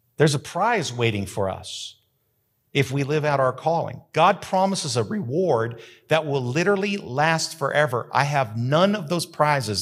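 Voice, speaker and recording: Animated and somewhat breathy, a man with an American accent speaks at a fairly high pitch. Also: very clean recording, silent background. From US Southwest, rural New Mexico. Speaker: pastor. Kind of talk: sermon. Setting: church sanctuary with live audience, also streamed.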